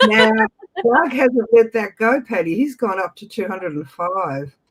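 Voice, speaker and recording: Speaking fairly slowly with an Australian accent, a man uses a high pitch and lively intonation. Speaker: auction host. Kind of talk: live auction calling.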